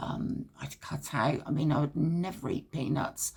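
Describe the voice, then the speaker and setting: Very deep, low-pitched woman's voice with vocal fry and a dark, mellow tone, at a fairly slow pace. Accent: British. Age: 70s. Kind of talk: personal story told to camera. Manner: hesitant, reflective.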